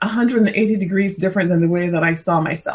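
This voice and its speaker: This woman speaks. She has a Caribbean accent. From Barbados. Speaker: corporate consultant. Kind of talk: interview.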